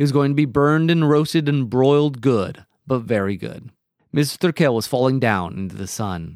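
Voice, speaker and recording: On a very clean recording with a silent background, a man with a plain, everyday voice speaks at medium pitch and moderate pace with lively intonation. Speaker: podcast host, teacher. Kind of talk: casual chat.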